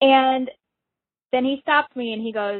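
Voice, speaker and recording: Speaking with an American accent, this voice shows ordinary pitch variation. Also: woman. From Minnesota. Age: 20s. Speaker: caller. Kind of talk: recorded voicemail question.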